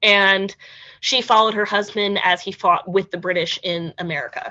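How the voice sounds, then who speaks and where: A normal speaking voice from a woman, medium in pitch, moderate in pace and ordinary in pitch variation. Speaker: historical interpreter. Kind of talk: museum history lecture.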